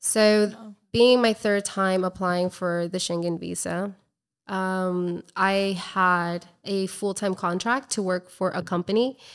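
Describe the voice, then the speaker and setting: A woman with an American accent at a fairly slow pace, her intonation fairly even, against a quiet background. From Colombia and Florida. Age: 30s. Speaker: travel blogger and entrepreneur; travel blogger. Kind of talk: casual interview. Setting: in person, drinking wine. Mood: earnest, reflective. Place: home room. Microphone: studio mic.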